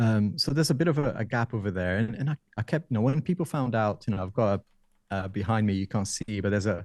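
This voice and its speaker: On a very clean recording with a silent background and a dry, close sound with no echo, a man with a non-native accent speaks at a very fast pace and fairly low pitch with lively intonation. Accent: noticeable non-native. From Brazil. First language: Portuguese. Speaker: tech YouTuber and IT consultant. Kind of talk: interview. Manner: conversational, with hesitations.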